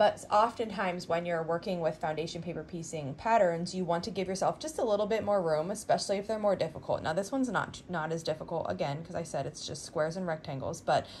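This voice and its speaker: At a very fast pace with hardly any pauses, a woman speaks at a fairly low pitch with ordinary pitch variation and a somewhat breathy quality, over light background noise. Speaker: quilting tutorial host. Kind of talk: tutorial. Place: home room.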